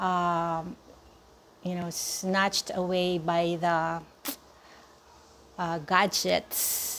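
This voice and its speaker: On a very clean recording with a silent background, a woman with a fairly low pitch talks at a very slow pace in a monotone, flat intonation, leaving long, frequent pauses. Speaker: vlogger. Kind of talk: personal vlog monologue. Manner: slow and tentative; halting, many fillers.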